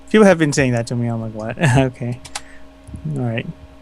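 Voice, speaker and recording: With noticeable background noise present, the man's medium pitch shows ordinary pitch variation. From Philippines. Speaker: fan artist. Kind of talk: casual interview. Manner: halting.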